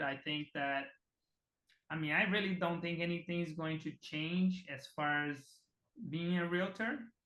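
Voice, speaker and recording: A man with a Portuguese accent speaks at a moderate pace in a fairly high voice, his tone bright and sharp and his intonation fairly even. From Brazil (Rondônia, Amazon region). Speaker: real estate team CEO. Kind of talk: casual interview.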